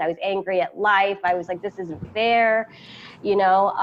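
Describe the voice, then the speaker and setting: There is noticeable background noise as a woman speaks with monotone, flat intonation. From US, moved to a Spanish-speaking country at 12. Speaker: entrepreneur. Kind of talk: interview. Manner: halting.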